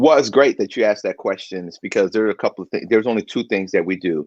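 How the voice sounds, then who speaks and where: A man talks very fast with a slight Baltimore accent. The sound is dry and close with no echo. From Baltimore, Maryland, US; half of childhood in North Carolina. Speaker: financial consultant, army veteran. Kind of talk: interview.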